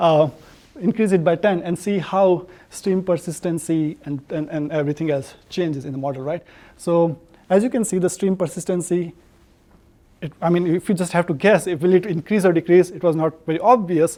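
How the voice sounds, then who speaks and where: A man speaks at a fairly quick pace with a high pitch and ordinary pitch variation. His tone is dark and mellow. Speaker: watershed hydrologist, research scientist. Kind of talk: lecture. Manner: fast; halting, many fillers.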